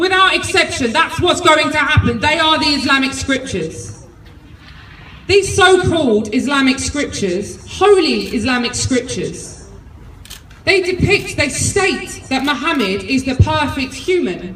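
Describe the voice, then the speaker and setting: Speaking fairly slowly with a London accent, a woman uses a high pitch with very wide swings. Noticeable background noise and audible room echo fill the recording. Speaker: political activist speaker. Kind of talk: rally speech. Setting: outdoor march with crowd. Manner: loud; animated.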